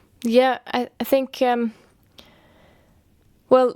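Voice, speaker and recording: A woman with a Norwegian accent speaks at a very slow pace on a very clean recording with a silent background. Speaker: musician and artist. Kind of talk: interview. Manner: halting.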